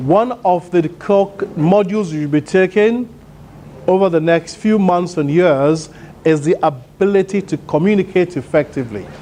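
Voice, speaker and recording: Loud and high-pitched, a man talks at a moderate pace with ordinary pitch variation over noticeable background noise. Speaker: motivational speaker. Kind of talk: conference keynote speech. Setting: stage with audience.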